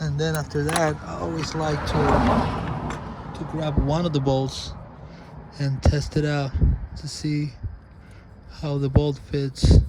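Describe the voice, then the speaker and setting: Amid noticeable background noise and audible room echo, a man with a fairly high pitch speaks very slowly in a monotone, flat voice, leaving long, frequent pauses. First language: not English. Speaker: DIY auto mechanic. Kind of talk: tutorial. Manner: halting, repeats words; casual.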